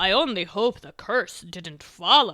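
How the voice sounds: A put-on character voice at a fairly slow pace. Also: woman.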